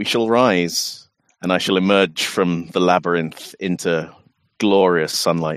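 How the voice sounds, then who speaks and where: A man uses a put-on character voice, booming and very deep in pitch. He speaks at a fairly slow pace. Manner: grandiose, menacing, condescending.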